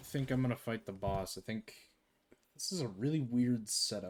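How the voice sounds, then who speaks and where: Here is a man with a plain, everyday voice at a medium pitch. He talks at a moderate pace with lively intonation. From Canada. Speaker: game streamer and indie game developer. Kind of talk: live gameplay commentary. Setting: live stream. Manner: casual, conversational with filler words.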